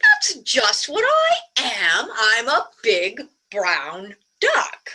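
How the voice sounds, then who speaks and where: Speaking very slowly, a woman uses a high-pitched, put-on character voice. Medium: read story. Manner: sly, smug.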